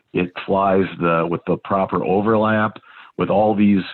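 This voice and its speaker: The speaker is a man with an American accent. His pitch varies in an ordinary way. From Minnesota, US Upper Midwest. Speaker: landscaping company manager and drone pilot. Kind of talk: casual interview.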